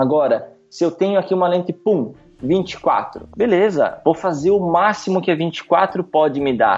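A fairly slow pace, very even loudness, and ordinary pitch variation, with noticeable background noise. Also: man, high pitch for a man. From Rio Grande do Sul, Brazil (interior town). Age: 20s. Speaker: wedding photographer. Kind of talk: podcast interview.

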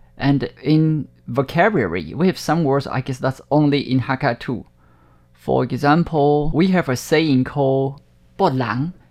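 Speaking at a fairly slow pace, a man with a southern Chinese accent uses a fairly high pitch and ordinary pitch variation. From Taiwan, Hakka-speaking family. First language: Hakka. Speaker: TV channel director. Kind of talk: interview.

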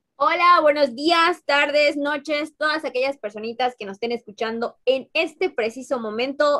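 Raised and projected, a woman's high, bright, sharp voice moves at a fairly slow pace with lively intonation and hardly any pauses. The sound is dry and close, with no echo. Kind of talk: casual chat.

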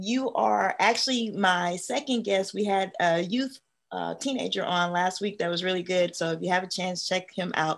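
A woman with an unremarkable speaking voice, ordinary pitch variation and a moderate pace. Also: medium pitch for a woman. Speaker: podcast host, educator. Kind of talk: casual interview.

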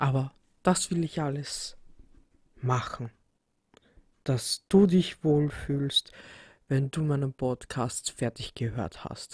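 A woman speaks at a very slow pace in a very deep, low, somewhat breathy voice with ordinary pitch variation and long, frequent pauses. The sound is dry and close, with no echo. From Austria, Vienna. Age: 30s. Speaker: podcast host. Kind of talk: solo podcast introduction. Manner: hesitant with many fillers.

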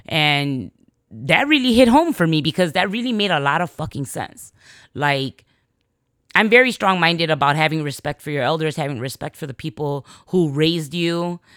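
With a Chicago accent, a woman speaks at a very deep, low pitch and a moderate pace with lively intonation, recorded dry and close with no echo against a silent background in a very clean recording. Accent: Chicago American English. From Chicago, US. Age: 40s. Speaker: podcast host. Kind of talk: casual monologue.

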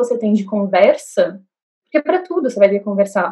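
Ordinary pitch movement in a somewhat breathy voice. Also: woman. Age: 20s. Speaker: law student and artist. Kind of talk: casual chat.

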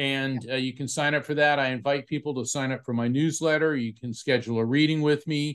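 A man with a plain, everyday voice and an American accent, fairly high pitch, ordinary pitch variation, a moderate pace and a quiet background. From Florida, US. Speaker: psychic medium and author. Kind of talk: interview.

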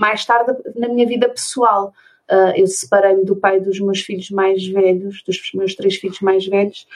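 A plain, everyday voice speaks at a fairly slow pace with fairly even intonation. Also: woman, medium pitch for a woman. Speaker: special education therapist and conscious divorce mentor. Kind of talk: interview conversation.

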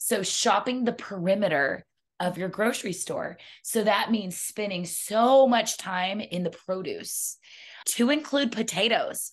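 With lively intonation, an unremarkable speaking voice proceeds at a fairly slow pace. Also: woman, fairly high pitch for a woman. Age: 40s. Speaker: health and wellness coach. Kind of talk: casual chat.

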